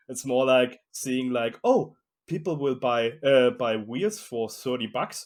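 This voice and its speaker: Very slow speech in a German accent, ordinary pitch variation, on a very clean recording with a silent background. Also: man, medium pitch for a man. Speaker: fingerboard wheel maker. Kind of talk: interview. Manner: halting.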